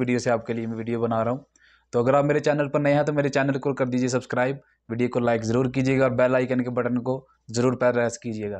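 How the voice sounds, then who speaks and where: The delivery runs at a fairly quick pace. Intonation is monotone and flat. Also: man. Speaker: YouTuber. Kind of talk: vlog intro and outro. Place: home room. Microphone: new microphone; lapel.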